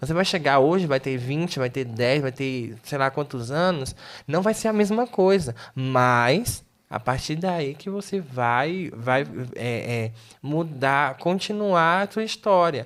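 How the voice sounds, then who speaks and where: A man talks very slowly with lively intonation, captured in a very clean recording against a silent background. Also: fairly high pitch for a man. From Brazil, Tocantins. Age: 20s. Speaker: missionary. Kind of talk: interview. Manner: halting.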